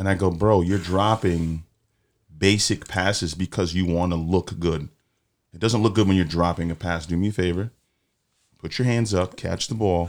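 A man with a very deep, low pitch speaks at a moderate pace, leaving long, frequent pauses. His intonation is fairly even, and the recording is very clean with a silent background. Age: 30s. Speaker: podcast host. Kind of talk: casual chat. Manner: blunt.

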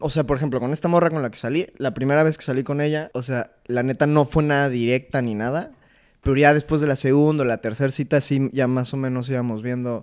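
On a very clean recording with a silent background, a man with a fairly high pitch talks at a very fast pace with fairly even intonation. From Mexico City. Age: 20s. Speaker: engineering student. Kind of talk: casual chat.

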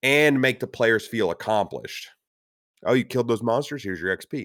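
A man speaks with an animated, bright, sharp tone and ordinary pitch variation, captured in a very clean recording with a silent background and a dry, close sound with no echo. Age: 30s. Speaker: tabletop RPG podcast co-host. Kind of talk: casual chat.

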